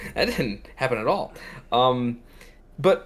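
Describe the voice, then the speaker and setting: A man of medium pitch mumbles, though his intonation stays lively. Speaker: podcast host. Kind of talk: casual chat. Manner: mumbling; fast.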